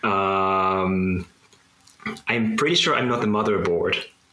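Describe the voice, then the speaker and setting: A man speaks fairly slowly, with noticeable background noise in the recording. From Japan. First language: Japanese. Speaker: coder and digital artist. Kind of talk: casual interview. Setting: video call.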